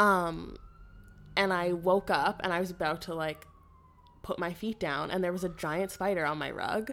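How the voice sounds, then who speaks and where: On a very clean recording with a silent background, a woman with a fairly low pitch and fairly even intonation speaks at a moderate pace, leaving long, frequent pauses. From Ottawa, Ontario, Canada. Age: 20s. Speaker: podcast co-host. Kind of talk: casual chat.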